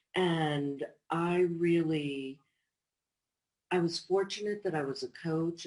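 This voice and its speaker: This is a woman speaking with an American accent. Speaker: divorce coach. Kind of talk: interview.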